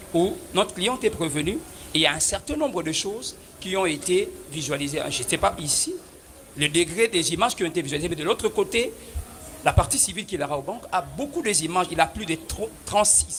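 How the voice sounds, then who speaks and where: A loud, high-pitched man's voice, fairly quick and lively in intonation, over noticeable background noise. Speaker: defense lawyer. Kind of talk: courtroom pleading. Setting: courtroom. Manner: formal.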